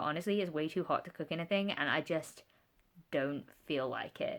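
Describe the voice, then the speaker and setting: A woman with a British accent, medium in pitch, lively in intonation and fairly quick in pace. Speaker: book vlogger. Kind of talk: casual talk to camera.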